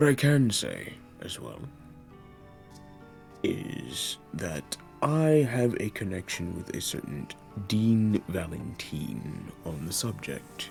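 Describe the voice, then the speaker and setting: With clear music in the background, a man in a put-on character voice speaks very slowly at a fairly low pitch, his pitch swinging very widely and his speech broken by long, frequent pauses. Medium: actual play. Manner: formal, measured.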